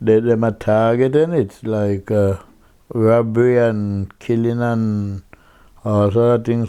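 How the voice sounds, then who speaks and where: His tone is dark and mellow. The man's intonation stays monotone and flat. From Jamaica. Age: 70s. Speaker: interviewee, Windrush-era migrant. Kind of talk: oral history interview. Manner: halting, repetitive.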